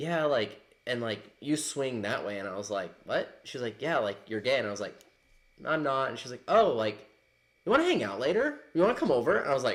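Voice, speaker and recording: In a plain, everyday voice, a man talks at a fairly quick pace and medium pitch with lively intonation. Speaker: bartender. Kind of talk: casual chat.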